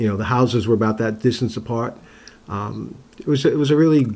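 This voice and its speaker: A man's dark, mellow voice at medium pitch, fairly quick in pace and fairly even in intonation. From Long Island, New York. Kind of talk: interview. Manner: halting.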